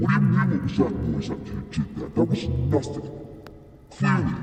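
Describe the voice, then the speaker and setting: A man does a put-on character voice with a very deep, low pitch at a very fast pace. A clear echo surrounds it. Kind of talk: audio roleplay. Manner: menacing, taunting.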